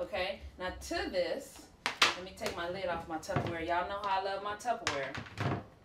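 Audible room echo surrounds a woman's fairly low, fairly bright voice. Her pitch varies in an ordinary way.

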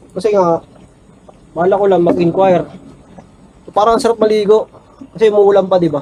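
A man speaks at a fairly quick pace and a high pitch, breaking often with long pauses. Noticeable background noise runs behind him. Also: fairly even intonation. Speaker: travel vlogger. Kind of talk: vlog narration. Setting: outdoors, cycling.

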